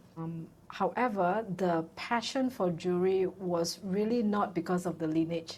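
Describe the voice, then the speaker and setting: A woman with a plain, everyday voice, fairly low in pitch. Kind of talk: interview.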